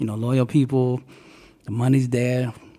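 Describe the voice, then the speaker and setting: In an American accent, a man talks at a moderate pace with a medium pitch and a dark, mellow tone. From US South (Alabama, Dallas, Miami). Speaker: motivational speaker, former rapper. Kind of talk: interview. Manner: animated.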